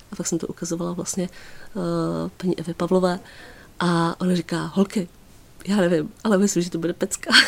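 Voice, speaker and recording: A woman talks at a very fast pace in a fairly low pitch, with monotone, flat intonation. Her speech has long, frequent pauses. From Czech Republic, Písek (South Bohemia). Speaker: fashion designer. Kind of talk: radio interview. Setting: radio studio.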